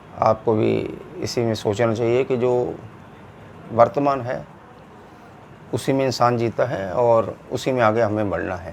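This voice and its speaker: Noticeable background noise sits behind a man of medium pitch who speaks with ordinary pitch variation and long, frequent pauses. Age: 60s. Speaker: political commentator. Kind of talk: opinion monologue.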